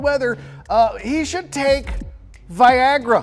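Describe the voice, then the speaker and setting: Over noticeable background noise, a man talks at a moderate pace in an extremely high pitch with ordinary pitch variation. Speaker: comedic sports news host. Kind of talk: comedic sports news monologue with jokes.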